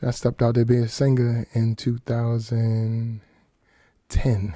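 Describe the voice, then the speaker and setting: Dry and close with no echo, a man's dark, mellow, somewhat breathy voice at medium pitch comes through in a flat monotone at a fairly slow pace. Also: very even loudness. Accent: American. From Washington, D.C. area, US. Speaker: singer and songwriter. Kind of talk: radio interview. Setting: radio studio.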